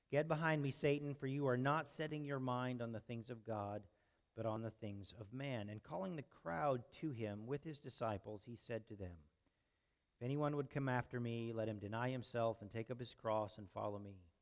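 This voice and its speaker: At a moderate pace, a man talks with ordinary pitch variation against a quiet background. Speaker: preacher. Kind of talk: sermon. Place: church.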